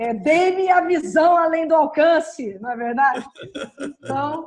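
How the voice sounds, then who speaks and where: Audible room echo surrounds a woman speaking at a fairly slow pace in a high pitch with lively intonation. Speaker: dental radiology professor. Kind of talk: lecture.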